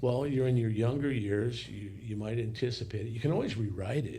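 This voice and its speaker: The voice has vocal fry and ordinary pitch variation at a moderate pace. There is audible room echo. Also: man. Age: 60s. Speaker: podcast guest. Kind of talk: casual discussion.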